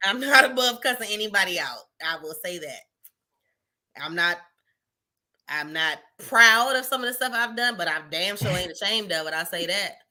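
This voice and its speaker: With music in the background, a woman of medium pitch talks at a moderate pace with very wide pitch swings and long, frequent pauses. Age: 30s. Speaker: podcast co-host. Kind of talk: casual chat.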